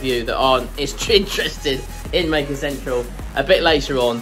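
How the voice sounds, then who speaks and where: A man, with clear music in the background. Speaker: maker channel host. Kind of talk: casual vlog chat. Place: workshop. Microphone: phone near.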